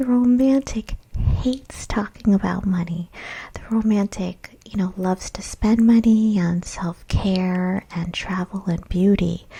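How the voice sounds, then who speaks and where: A soft-spoken woman's somewhat breathy voice, medium in pitch, with a dark, mellow tone, ordinary pitch variation and a fairly slow pace. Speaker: small business coach. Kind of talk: ASMR webinar presentation. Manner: soft-spoken, relaxing.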